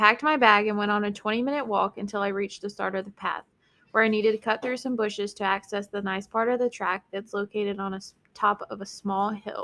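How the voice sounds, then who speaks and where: Speaking at a fairly quick pace with a slight Southern US accent, a woman holds a medium pitch in a bright, sharp tone with monotone, flat intonation. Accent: slight Southern US country twang. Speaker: guest story reader. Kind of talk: reading Reddit stories aloud with chat.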